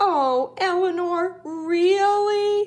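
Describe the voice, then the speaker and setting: This is a squeaky, put-on character voice. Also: woman. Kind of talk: bedtime story. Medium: read story. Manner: humble, earnest.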